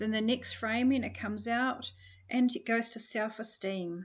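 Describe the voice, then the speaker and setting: Over a quiet background, a woman with a New Zealand accent talks at a moderate pace with fairly high pitch. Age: 60s. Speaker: personal development coach. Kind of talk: online course introduction. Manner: hesitant, many fillers.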